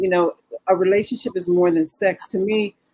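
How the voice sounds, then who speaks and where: An ordinary speaking voice from a woman, medium pitch, ordinary pitch variation, a moderate pace and a dry, close sound with no echo. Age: 60s. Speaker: businesswoman discussing dating. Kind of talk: talk show discussion. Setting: studio.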